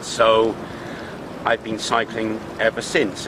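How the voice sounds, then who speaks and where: Amid noticeable background noise, a man speaks at a fairly low pitch. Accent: English. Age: 60s. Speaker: fitness enthusiast. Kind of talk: personal reflection to camera. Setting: outdoors by a swimming pool.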